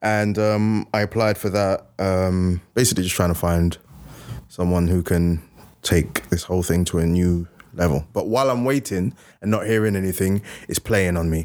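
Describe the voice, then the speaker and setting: Recorded very cleanly against a silent background, a man speaks with a very deep, low pitch and fairly even intonation. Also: moderate pace. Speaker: podcast co-host; author.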